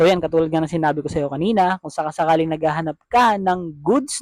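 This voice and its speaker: This man's voice sits fairly high, its pitch shifting in an ordinary way. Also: dry, close sound with no echo. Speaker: vlogger. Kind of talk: product review. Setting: at home, later outdoors at night. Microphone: cheap wireless lavalier mic, compared with no mic.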